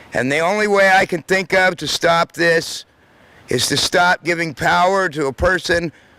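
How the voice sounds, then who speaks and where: A man's bright, sharp voice, high in pitch, fairly slow, with fairly even intonation, on a very clean recording with a silent background and a dry, close sound with no echo. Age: 50s. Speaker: public commenter at community forum. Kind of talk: public comment speech.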